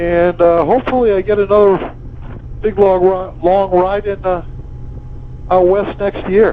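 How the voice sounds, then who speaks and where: With noticeable background noise behind him, a high-pitched man speaks fairly slowly, in monotone, flat intonation with long, frequent pauses. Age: 70s. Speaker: motovlogger. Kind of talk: casual vlog narration while riding. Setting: riding a motorcycle outdoors. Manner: halting, many fillers.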